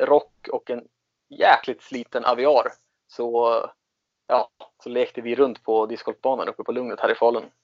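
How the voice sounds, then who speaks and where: His pitch is medium for a man. He keeps a moderate pace. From Sweden, Katrineholm. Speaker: disc golf player. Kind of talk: interview.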